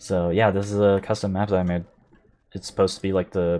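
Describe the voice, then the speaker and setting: This man has a very deep, low pitch and a dark, mellow tone. His intonation stays monotone and flat. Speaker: gaming streamer. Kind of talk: casual live stream chat. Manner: stuttering, rusty; casual, filler-heavy.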